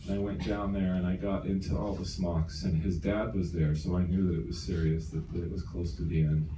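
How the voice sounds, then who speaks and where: A man speaks with a very deep, low pitch. Audible room echo and noticeable background noise surround him. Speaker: company co-founder. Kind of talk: motivational talk. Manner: animated storytelling.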